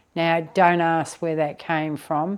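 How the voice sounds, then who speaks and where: Heard in a very clean recording with a silent background, a woman speaks in a very deep, low voice. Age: 60s. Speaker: carer. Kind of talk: casual personal talk to camera. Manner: hesitant with many fillers.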